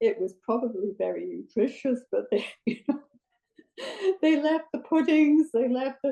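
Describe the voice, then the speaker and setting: A woman with a British accent speaks at a fairly slow pace, her high pitch carrying lively intonation. Her tone is dark and mellow. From Britain. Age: 80s+. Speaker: audience member. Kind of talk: panel discussion question. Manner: halting.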